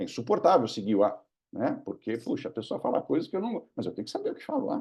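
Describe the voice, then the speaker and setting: Speaking at a very fast pace, a man's voice shows big swings in loudness. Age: 60s. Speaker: government digital policy official and speaker. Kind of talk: webinar Q&A answer. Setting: online webinar. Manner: conversational, with hesitations and repetitions.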